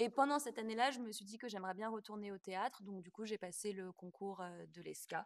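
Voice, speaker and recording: Using a plain, everyday voice, a woman talks at a fairly quick pace with hardly any pauses, medium pitch, ordinary pitch variation and big swings in loudness. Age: 20s. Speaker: stage actress and dancer. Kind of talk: interview.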